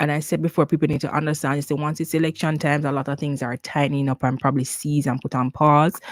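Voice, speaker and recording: Very fast speech with hardly any pauses, in a Jamaican accent. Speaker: nurse and nursing career advisor. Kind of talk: live Q&A stream. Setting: YouTube livestream. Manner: casual, conversational with fillers.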